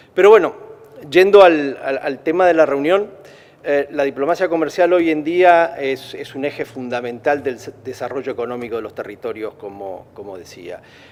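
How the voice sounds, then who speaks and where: With an Argentine accent, this voice has lively intonation and big swings in loudness at a moderate pace. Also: man, fairly high pitch for a man. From Argentina. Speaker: trade federation president. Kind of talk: press conference speech. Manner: halting, many repetitions and fillers.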